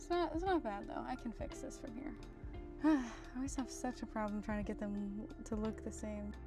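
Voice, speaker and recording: With music in the background, a soft-spoken woman talks at a high pitch. Her pace is moderate and her pitch swings very widely. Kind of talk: casual makeup tutorial talk to camera.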